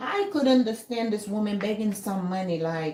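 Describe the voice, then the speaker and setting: A woman talks with lively intonation. Noticeable background noise runs beneath her voice. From Jamaica. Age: 60s. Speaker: YouTube commentator. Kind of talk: casual opinion rant. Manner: animated.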